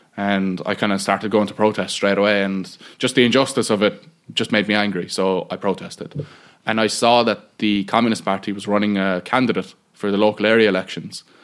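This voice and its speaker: A man talks with a Cork accent at a fairly low pitch. His pace is fairly quick and his intonation fairly even. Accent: Cork Irish. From Bandon, County Cork, Ireland. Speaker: political activist. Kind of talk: interview conversation. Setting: squatted old building without electricity.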